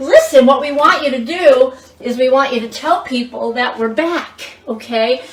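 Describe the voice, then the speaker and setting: A woman's high, animated voice amid audible room echo and noticeable background noise. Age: 60s. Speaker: cooking show host. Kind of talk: cooking demonstration. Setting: home kitchen with family present.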